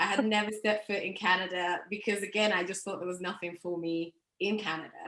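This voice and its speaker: A woman's medium-pitched voice at a fairly quick pace, flat and monotone throughout. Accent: English. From England. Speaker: marketing professional. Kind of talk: interview.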